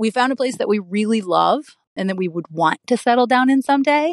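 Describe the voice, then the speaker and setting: Recorded dry and close with no echo, a woman with a normal speaking voice talks at a fairly quick pace with ordinary pitch variation. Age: 40s. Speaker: caller. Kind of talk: recorded voicemail question.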